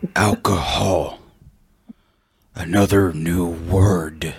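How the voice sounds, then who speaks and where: A man's raspy, very deep put-on character voice at a very slow pace. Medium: actual play. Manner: slow, stilted, formal.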